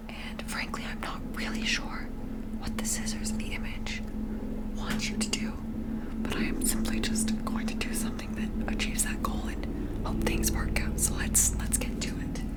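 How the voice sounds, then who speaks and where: The speaker is soft-spoken, with a relaxed tone and a moderate pace. Noticeable background noise runs underneath. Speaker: ASMR creator. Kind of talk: ASMR craft tutorial, casual talk to camera. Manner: soft-spoken, relaxed, casual.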